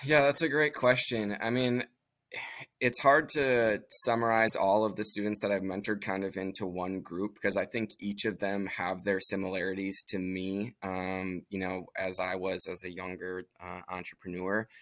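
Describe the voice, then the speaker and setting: The recording is very clean, with a silent background. A man with a normal speaking voice, fairly low in pitch, talks at a moderate pace with ordinary pitch variation. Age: 30s. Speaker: entrepreneur and engineer. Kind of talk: interview.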